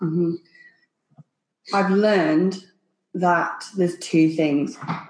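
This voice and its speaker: A woman with a fairly low voice speaks at a very slow pace. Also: fairly even intonation. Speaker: CrossFit athlete and coach. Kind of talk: casual interview.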